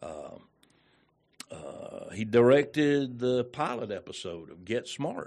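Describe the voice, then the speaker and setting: A man with a Southern US accent speaks at a very slow pace. His loudness swings widely. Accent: Southern US (Georgia). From Georgia, US South. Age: 60s. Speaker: radio personality. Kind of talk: casual interview chat. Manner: halting, many fillers.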